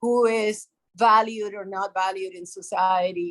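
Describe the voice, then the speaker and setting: A woman speaks at a medium pitch with a Puerto Rican accent. Her intonation stays fairly even. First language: Spanish. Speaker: developmental psychologist, professor. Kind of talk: interview.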